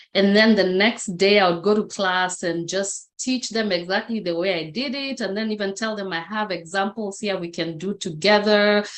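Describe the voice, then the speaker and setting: A woman with a Kenyan accent speaks at a medium pitch with fairly even intonation and hardly any pauses. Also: moderate pace. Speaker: motivational speaker. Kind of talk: interview testimony.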